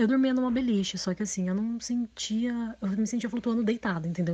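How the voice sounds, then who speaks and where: Speaking at a very fast pace, a woman has a dark, mellow tone that is somewhat breathy, with ordinary pitch variation. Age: 20s. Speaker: listener sharing a story. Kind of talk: recorded personal story.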